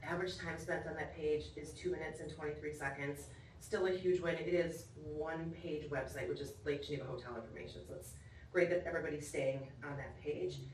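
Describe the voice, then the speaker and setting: Over noticeable background noise and audible room echo, a woman with a very deep, low pitch talks at a fairly quick pace with ordinary pitch variation. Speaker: venue sales manager presenting report. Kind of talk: formal report to commission. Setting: council chambers meeting. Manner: loud.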